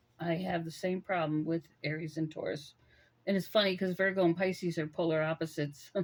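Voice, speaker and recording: This woman's voice sits fairly low in pitch and stays monotone and flat. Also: fairly quick pace. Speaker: tarot reader. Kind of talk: tarot reading.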